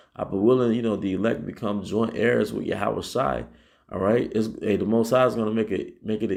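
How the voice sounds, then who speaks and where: A man's fairly low voice with vocal fry and ordinary pitch variation over a quiet background. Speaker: Hebrew Israelite teacher. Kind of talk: sermon. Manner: halting, repeats words; says 'all right' constantly.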